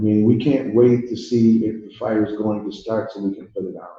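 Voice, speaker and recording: Somewhat breathy and dark, mellow in tone, a man's medium-pitched voice carries audible room echo. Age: 70s. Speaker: pastor. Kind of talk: public speech at community town hall. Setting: community hall with audience. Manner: impassioned.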